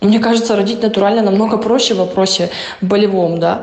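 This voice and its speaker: A woman speaks very fast with fairly even intonation, with audible room echo and noticeable background noise in the recording. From Russia. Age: 20s. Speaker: interviewee, mother. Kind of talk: interview.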